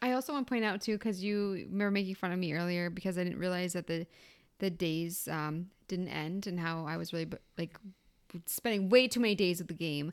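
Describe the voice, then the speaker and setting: On a very clean recording with a silent background, a woman with an unremarkable speaking voice talks at a fairly quick pace and medium pitch, with ordinary pitch variation. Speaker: podcast co-host. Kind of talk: casual chat.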